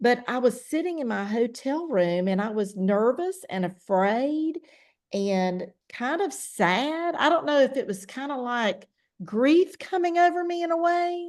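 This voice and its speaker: Loud and high-pitched, a woman's voice swings very widely in pitch. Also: quiet background. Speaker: network marketing distributor. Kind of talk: testimony.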